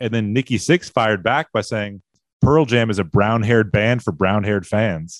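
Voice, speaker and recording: Against a quiet background, a man with an unremarkable speaking voice and a fairly low pitch talks at a moderate pace with ordinary pitch variation, the sound dry and close with no echo. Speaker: podcast guest. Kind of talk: casual chat. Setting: studio.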